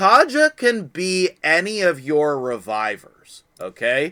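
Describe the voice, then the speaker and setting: On a very clean recording with a silent background, a man's voice makes very wide pitch swings. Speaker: gaming youtuber. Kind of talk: gaming tutorial. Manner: stumbling over words; casual, chatty.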